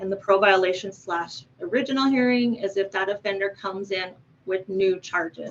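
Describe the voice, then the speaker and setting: Her pitch sits in the medium range for a woman. She talks at a fairly quick pace. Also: fairly even intonation. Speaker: victim coordinator at a parole board. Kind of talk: presentation. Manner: fast.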